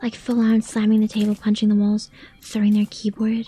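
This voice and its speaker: Quiet, fairly quick whispering with music in the background. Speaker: vtuber streamer. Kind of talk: casual gaming livestream chat. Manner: quiet, near-whispering.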